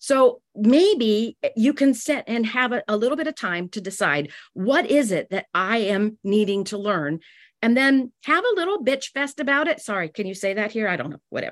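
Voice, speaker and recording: Pitch swings very widely at a moderate pace. The sound is dry and close with no echo over a quiet background. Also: woman, fairly high pitch for a woman. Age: 60s. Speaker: direct sales business leader. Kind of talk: business talk.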